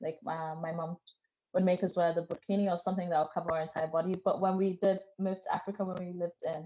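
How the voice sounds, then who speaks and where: Talking very fast, a woman keeps a fairly low pitch and fairly even intonation. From England. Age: 20s. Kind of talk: interview testimony.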